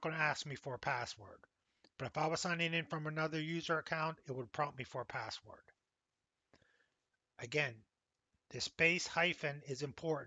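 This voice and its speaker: This man has an American accent and a fairly high pitch, with ordinary pitch variation. He keeps a moderate pace broken by long, frequent pauses. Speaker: college instructor. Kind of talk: tutorial.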